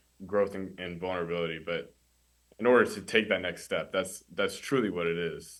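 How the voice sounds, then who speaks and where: Here a man speaks with a very deep, low pitch and fairly even intonation. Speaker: college student mentee. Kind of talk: podcast interview. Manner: stutter; halting.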